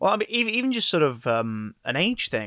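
A man with a British accent and a bright, sharp tone at a moderate pace, in a very clean, dry, close recording with a silent background and no echo. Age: 20s. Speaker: former children's TV presenter. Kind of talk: casual chat.

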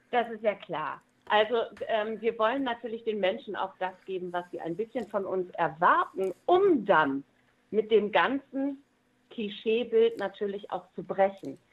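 A woman talks in a plain, everyday voice at a fairly slow pace. Her intonation is lively, and her loudness swings a lot. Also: fairly high pitch for a woman. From East Frisia, northern Germany. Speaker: musician and entertainer. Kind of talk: interview.

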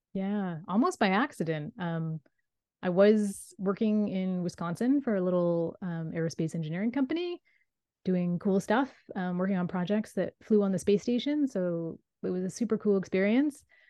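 A woman's unremarkable speaking voice at a medium pitch and moderate pace, with ordinary pitch variation. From Nova Scotia, Canada. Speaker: author. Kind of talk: interview.

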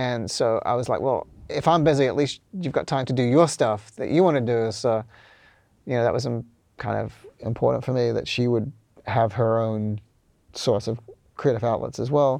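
In a New Zealand accent, a man at a medium pitch speaks with long, frequent pauses over a quiet background. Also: ordinary pitch variation, moderate pace. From New Zealand, Auckland. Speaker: music producer and studio engineer. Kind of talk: casual interview.

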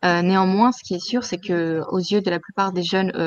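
At a moderate pace, a woman speaks in a plain, everyday voice of medium pitch. The sound is dry and close, with no echo. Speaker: former student. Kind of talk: testimony.

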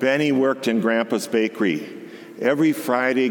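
The reading is done in a natural reading voice.

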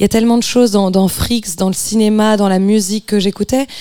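This woman talks at a moderate pace with fairly even intonation, in a plain, everyday voice. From France. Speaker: singer-songwriter. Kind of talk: radio interview.

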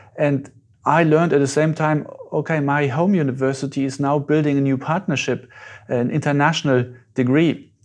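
A man with a German accent talks at a moderate pace with fairly even intonation. His pitch is fairly high, and the background is quiet. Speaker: astronaut. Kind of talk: interview.

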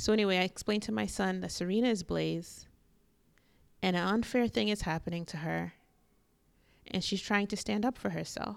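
At a moderate pace, a woman speaks with long, frequent pauses. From New York City. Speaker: podcast host, media commentator. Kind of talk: solo podcast monologue. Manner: animated.

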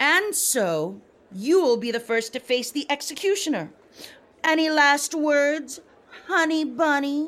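A female-sounding voice takes on a put-on character at a high pitch. The pace is fairly slow. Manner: gloating, contemptuous.

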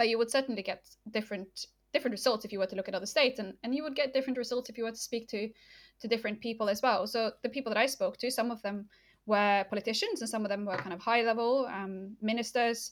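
A woman with a Norwegian accent, fairly high-pitched and speaking very fast with fairly even intonation, on a very clean recording with a silent background. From northern Norway. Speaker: political geography lecturer. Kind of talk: interview. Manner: hesitant, many fillers.

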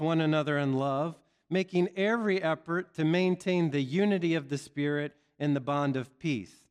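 Against a quiet background, a man with an unremarkable speaking voice talks at a moderate pace and fairly high pitch, with ordinary pitch variation. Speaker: seminary preacher. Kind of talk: sermon. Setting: church.

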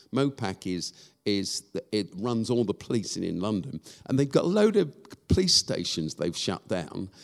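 Speaking at a moderate pace with an English accent, a man uses lively intonation and a fairly low pitch. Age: 60s. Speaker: charity founder and church leader. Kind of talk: live interview before a church audience. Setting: stage with audience. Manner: halting, many fillers.

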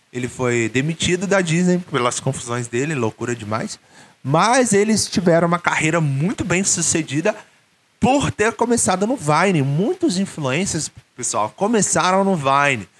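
This man talks at a moderate pace in a Brazilian accent, his high pitch swinging very widely. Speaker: YouTuber and English teacher. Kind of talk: casual monologue vlog. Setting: solo video recording, no editing. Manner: informal, many fillers and hesitations.

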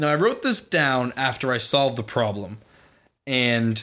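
A bright, sharp tone with ordinary pitch variation and an American accent. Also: man. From Boston area, New England. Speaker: college student podcast co-host. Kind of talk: casual chat.

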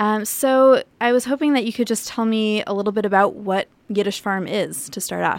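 A woman speaks at a moderate pace with hardly any pauses, in an ordinary speaking voice. Her pitch is fairly high, with ordinary pitch variation. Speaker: podcast interviewer. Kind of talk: interview.

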